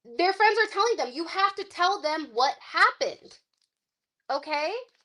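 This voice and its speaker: This voice is raised and projected, with an animated tone, lively intonation and a bright, sharp sound. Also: woman. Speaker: tarot card reader. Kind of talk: live-stream reading. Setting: live stream. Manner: loud.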